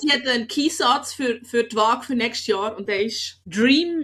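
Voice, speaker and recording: Her pitch swings very widely. The woman's voice sits fairly high. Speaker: comedian and podcast host. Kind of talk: casual podcast talk.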